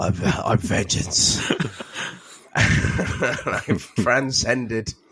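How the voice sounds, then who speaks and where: There is noticeable background noise as a man speaks at a very slow pace. His intonation is lively. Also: medium pitch for a man. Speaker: podcast co-host. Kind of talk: casual chat.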